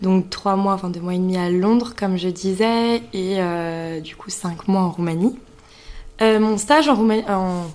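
This is a woman with a normal speaking voice, ordinary pitch variation and a fairly slow pace. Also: medium pitch for a woman. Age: 20s. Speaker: business school student. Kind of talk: interview.

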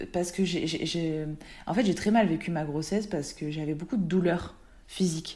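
Her dark, mellow tone carries lively intonation as this woman talks at a fairly slow pace. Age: 30s. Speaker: wellness practitioner, mother. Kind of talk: personal testimony in casual interview. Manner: halting, many hesitations.

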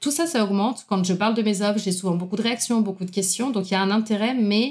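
Her intonation fairly even, a woman talks at a medium pitch in a normal speaking voice. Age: 30s. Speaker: self-employed entrepreneur and coach. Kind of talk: casual interview conversation.

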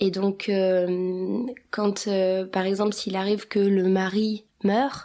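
The voice belongs to a woman speaking at a medium pitch. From France, born in Kosovo. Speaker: podcast guest. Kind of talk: casual chat. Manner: halting.

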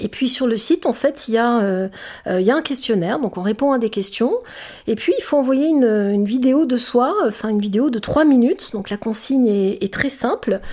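A woman's high-pitched voice has a dark, mellow tone and lively intonation. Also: moderate pace. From France, Sicilian family. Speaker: public speaker. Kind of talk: interview. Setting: studio. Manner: halting.

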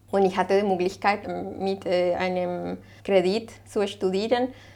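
A woman speaks at a fairly slow pace and a medium pitch. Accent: Spanish. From Colombia, Bogotá. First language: Spanish (speaking German). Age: 40s. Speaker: waste management advisor. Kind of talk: interview. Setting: restaurant.

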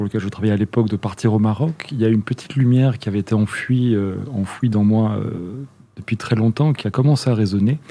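A man with a plain, everyday voice, medium-pitched, with ordinary pitch variation, at a fairly quick pace. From Netherlands. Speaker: chamber of commerce president. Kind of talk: interview.

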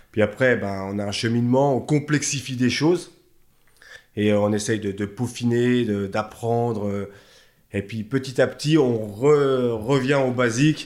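At a fairly slow pace, this is an ordinary speaking voice with ordinary pitch variation. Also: man, medium pitch for a man. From Haute-Savoie, France (Chablais). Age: 40s. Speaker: bodybuilding coach and shop owner. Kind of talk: casual interview chat.

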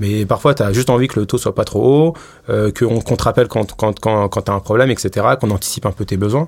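This man's delivery is fairly quick. His voice sits fairly low. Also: ordinary pitch variation. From Paris, France. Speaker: head of data and AI at a bank. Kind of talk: interview. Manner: hesitant, many fillers.

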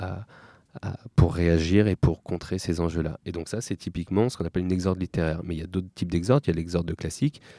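The voice has a dark, mellow tone and fairly even intonation, with a dry, close sound and no echo. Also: man, very clean recording, silent background. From Paris suburbs (Seine-Saint-Denis area). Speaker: documentary filmmaker and public speaking teacher. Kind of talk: interview.

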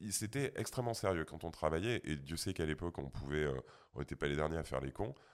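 Very deep and low, a man's voice carries vocal fry and lively intonation. He talks at a very fast pace. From rural France. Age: 40s. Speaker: sound engineer. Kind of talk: casual chat.

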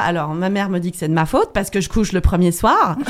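Amid noticeable background noise, a woman talks at a fairly quick pace, her pitch fairly low and her pitch variation ordinary. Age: 30s. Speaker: guest sharing personal experience. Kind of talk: testimony.

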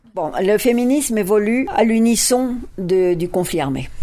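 A woman's medium-pitched voice at a very slow pace, with noticeable background noise. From France. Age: 70s. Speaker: feminist academic. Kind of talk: interview.

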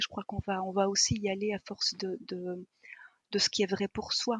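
A woman speaks in a bright, sharp tone with flat, monotone intonation, recorded dry and close with no echo. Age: 50s. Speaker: energy therapist. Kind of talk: casual chat.

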